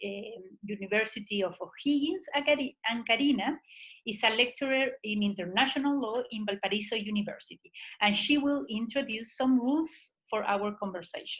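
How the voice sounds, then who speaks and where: A woman with a fairly high pitch speaks in a Spanish accent. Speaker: seminar moderator. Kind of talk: webinar introduction.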